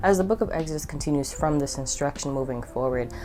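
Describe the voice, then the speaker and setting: A woman with an American accent talks at a very fast pace. Noticeable background noise runs underneath. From United States. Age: 20s. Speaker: YouTuber, Bible study vlogger. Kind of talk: casual vlog talk.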